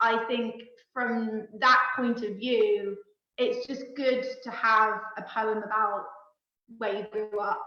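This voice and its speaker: With a Cornish accent and a fairly high pitch, a woman speaks at a very slow pace in a monotone, flat intonation, with audible room echo. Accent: Cornish, noticeable on certain words. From Cornwall, England. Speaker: poet. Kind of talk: casual chat.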